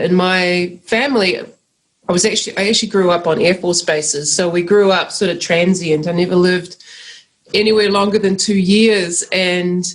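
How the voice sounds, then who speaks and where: The speaker has a New Zealand accent and a moderate pace. Loudness stays very even throughout. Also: woman. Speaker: agroecologist. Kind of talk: interview.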